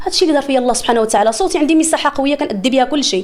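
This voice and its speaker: Animated in tone, a woman with a Moroccan accent speaks at a high pitch. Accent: Moroccan Arabic (Darija). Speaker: singer. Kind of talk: interview.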